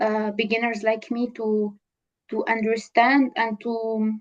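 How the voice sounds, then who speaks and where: This woman speaks with a Tunisian accent at a fairly high pitch. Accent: Tunisian accent in English, pretty good. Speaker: data scientist and entrepreneur. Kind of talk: interview. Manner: halting, many fillers.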